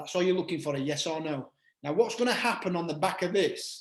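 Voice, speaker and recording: A British accent with ordinary pitch variation. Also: man. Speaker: network marketing trainer. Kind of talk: online group call training.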